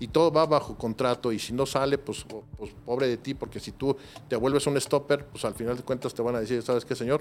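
At a fairly quick pace, a man uses an ordinary speaking voice with medium pitch and fairly even intonation. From Mexico City. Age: 40s. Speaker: private security professional. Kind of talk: interview.

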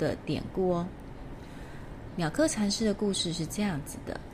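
In a room with audible echo, a woman speaks at a fairly slow pace in a gentle, warm, somewhat breathy tone with lively intonation. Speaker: tea ceremony teacher and podcast host. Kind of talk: casual storytelling monologue.

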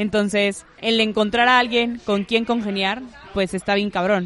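A woman talks at a moderate pace and a medium pitch with fairly even intonation. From Monterrey, northern Mexico. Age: 20s. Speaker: communications graduate and podcaster. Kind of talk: casual chat.

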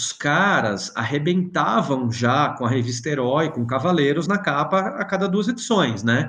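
A man with a fairly high pitch talks fairly slowly, his pitch swinging very widely. There is noticeable background noise. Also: hardly any pauses. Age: 40s. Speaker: comics editor and journalist. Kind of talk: casual chat. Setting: video call.

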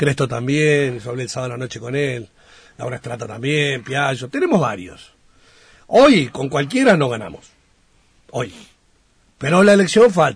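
Speaking at a moderate pace, a man with a medium-pitched, somewhat breathy voice uses lively intonation. His loudness swings widely, and he takes long, frequent pauses. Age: 50s. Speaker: national congressman. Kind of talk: radio interview. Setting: radio studio.

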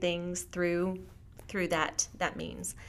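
At a fairly slow pace, a woman with an American accent speaks in an ordinary speaking voice at medium pitch. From US, military family moving around. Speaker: author and teacher. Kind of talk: interview.

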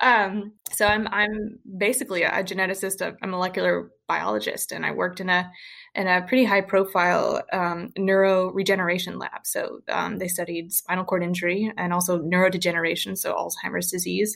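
A woman with an American accent talks at a fairly quick pace with hardly any pauses, at medium pitch with vocal fry and monotone, flat intonation. The recording is very clean, with a silent background. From US South, rural Western Kentucky. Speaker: healthcare data innovator, former molecular biologist. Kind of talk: interview.

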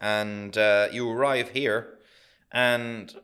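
A man speaks at a medium pitch. He talks with an Irish accent. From Ireland. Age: 50s. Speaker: accountant. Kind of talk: casual chat.

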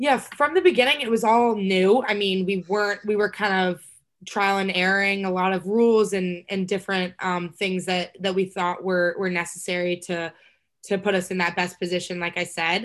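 Here is a woman with an American accent and a plain, everyday voice. She speaks at a moderate pace and medium pitch with fairly even intonation, over a quiet background. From Texas. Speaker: college lacrosse player. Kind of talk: casual interview.

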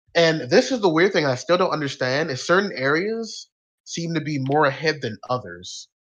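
Here is a man with a normal speaking voice and an American accent. His pitch is fairly high, his intonation lively, and the background quiet. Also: moderate pace. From Arizona and Texas, born New Orleans. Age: 20s. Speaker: group moderator. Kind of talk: casual presentation on spirituality.

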